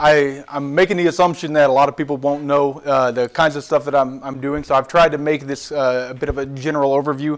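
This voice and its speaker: A man with a fairly high voice speaks with monotone, flat intonation. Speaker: computational scientist, seminar speaker. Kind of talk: lecture. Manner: halting, many fillers and repeated syllables.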